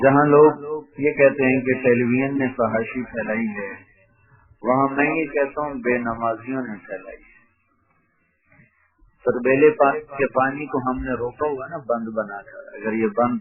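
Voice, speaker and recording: An ordinary speaking voice comes through with fairly even intonation and big swings in loudness. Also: man, medium pitch for a man. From Pakistan. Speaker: Islamic scholar and preacher. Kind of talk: religious sermon (bayan).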